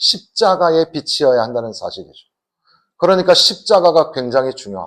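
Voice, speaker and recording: A man at a moderate pace. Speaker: guest pastor. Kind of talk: sermon. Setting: church.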